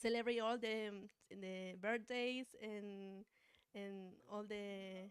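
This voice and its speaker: A woman's medium-pitched voice in a Spanish accent, very slow in pace, with fairly even intonation. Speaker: doctoral student. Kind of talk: seminar talk. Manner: halting.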